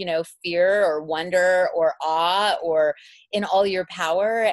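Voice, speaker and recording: A woman with an unremarkable speaking voice talks at a fairly low pitch with ordinary pitch variation, in a dry, close sound with no echo over a quiet background. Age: 40s. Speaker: author and publisher. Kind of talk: casual chat.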